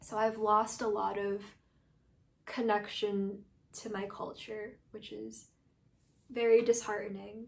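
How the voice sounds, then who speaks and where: A woman's fairly high voice in a New York accent, very slow and monotone, with long, frequent pauses. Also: big swings in loudness. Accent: American, New York. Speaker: artist. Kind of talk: interview testimony. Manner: casual, hesitant with fillers. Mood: reflective, emotional, hopeful. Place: home room.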